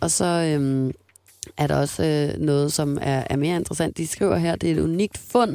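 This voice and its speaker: A woman talks at a moderate pace with lively intonation. Her pitch is very deep and low. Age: 20s. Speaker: radio host. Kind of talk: casual chat. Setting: studio.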